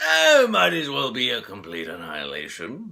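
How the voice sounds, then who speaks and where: Using a put-on character voice, a man speaks at a moderate pace with a fairly low pitch. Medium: solo performance. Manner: theatrical, grandly villainous.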